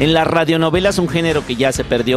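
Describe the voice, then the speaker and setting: Fairly quick male speech with ordinary pitch variation, a dry sound with no echo, and clear music in the background. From Mexico. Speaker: voice actor and dubbing director. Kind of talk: interview answer. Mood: calm, reflective. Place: home room. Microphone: handheld.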